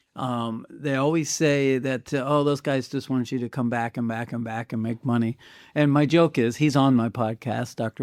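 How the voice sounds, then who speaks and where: This man has an ordinary speaking voice at medium pitch, with fairly even intonation and a moderate pace, recorded very cleanly against a silent background with a dry, close sound and no echo. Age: 60s. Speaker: podcast host. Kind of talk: casual chat.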